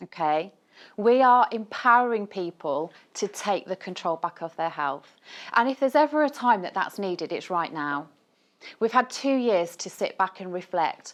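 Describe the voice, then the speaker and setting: A woman with a Birmingham accent speaks at a moderate pace in a medium pitch, her voice swinging very widely in pitch against a quiet background. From Birmingham, England. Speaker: nutritionist. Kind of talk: conference talk. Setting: stage with audience. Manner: animated.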